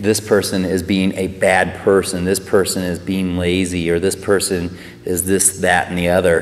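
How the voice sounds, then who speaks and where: Through noticeable background noise, a man with a very deep, low pitch speaks at a fairly slow pace. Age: 40s. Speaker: personal trainer and life coach. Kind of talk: personal testimony to camera. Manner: hesitant, many fillers.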